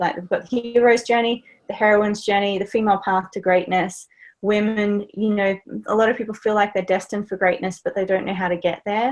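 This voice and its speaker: A woman with an Australian accent talks at a fairly quick pace and medium pitch, her intonation monotone and flat. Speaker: life and business coach. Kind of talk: interview conversation.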